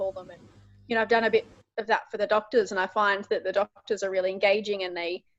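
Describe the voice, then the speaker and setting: A woman at a very fast pace, medium in pitch, with fairly even intonation, big swings in loudness, a dry, close sound with no echo, and music in the background. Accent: Australian. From Canberra and Wagga area, New South Wales, Australia. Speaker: clinical nurse in telehealth. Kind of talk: interview answer.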